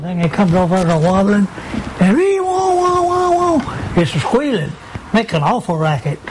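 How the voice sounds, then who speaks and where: Over noticeable background noise, a man with a rural American accent speaks at a moderate pace. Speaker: WWII Marine veteran. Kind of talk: interview answer recalling war memories. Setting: recorded interview for TV news.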